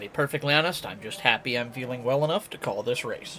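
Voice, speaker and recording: The voice is quiet, with ordinary pitch variation. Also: man. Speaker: sim racing commentator. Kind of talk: live commentary. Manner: quieter, subdued; laid-back.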